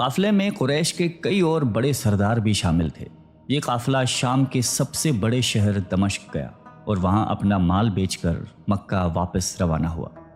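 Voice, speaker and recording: A man with a fairly low voice talks with lively intonation while music plays in the background. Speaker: narrator. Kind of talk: religious story narration.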